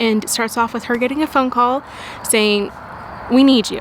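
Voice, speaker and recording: A woman talks with fairly even intonation at a fairly high pitch. There is noticeable noise in the background. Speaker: book vlogger. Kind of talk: casual vlog chat. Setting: Airbnb room.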